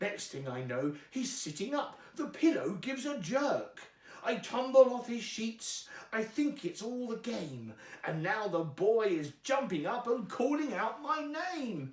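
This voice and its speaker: This is a put-on character voice from a man. It is extremely high-pitched and fairly slow. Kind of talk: rhyming bedtime story. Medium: read story. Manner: cheeky, rhyming, playful.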